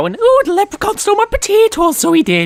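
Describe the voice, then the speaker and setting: Over faint music in the background, a man puts on a character voice at an extremely high pitch, talking at a very fast pace. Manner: mocking.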